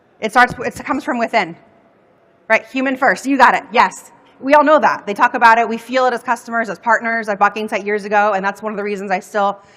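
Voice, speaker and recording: A woman speaks at a very fast pace in an energetic tone, her fairly high pitch varying in an ordinary way. Noticeable background noise sits behind her. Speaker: customer success consultant. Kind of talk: conference workshop talk. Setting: stage with audience.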